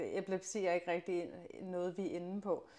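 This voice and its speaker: Her voice sits at a medium pitch as the woman talks at a moderate pace. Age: 30s. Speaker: mother of a chronically ill child, athlete. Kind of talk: interview testimony. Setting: in her home. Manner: hesitant, many fillers.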